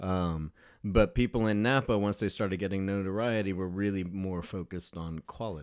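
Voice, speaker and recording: Fairly low-pitched and fairly quick, a man talks with fairly even intonation. His is a plain, everyday voice. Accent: General American. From US, San Diego, California. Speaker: wine researcher. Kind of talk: casual interview.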